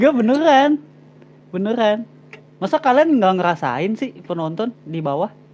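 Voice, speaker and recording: Very wide pitch swings at a moderate pace, long, frequent pauses, and noticeable background noise. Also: man, high pitch for a man. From Jakarta, Indonesia (Betawi Chinese). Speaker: live stream host. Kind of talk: casual live stream chat. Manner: casual, slangy.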